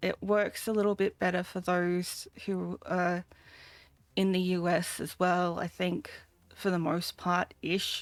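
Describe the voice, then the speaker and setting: On a very clean recording with a silent background, a woman with an Australian accent speaks at medium pitch and a very slow pace. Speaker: vtuber streamer. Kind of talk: casual live stream chat. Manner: halting, many fillers.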